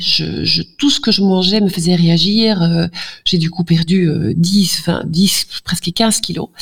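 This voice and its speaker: Amid noticeable background noise, a woman speaks very slowly in a fairly low voice with ordinary pitch variation. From Flanders, Belgium. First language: Dutch (speaking French). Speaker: general practitioner. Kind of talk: interview.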